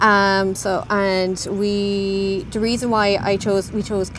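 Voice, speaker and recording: A woman speaks with an Irish accent at a medium pitch. Her intonation is monotone and flat. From Ireland. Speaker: interview guest, immigrant. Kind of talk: casual interview. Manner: halting.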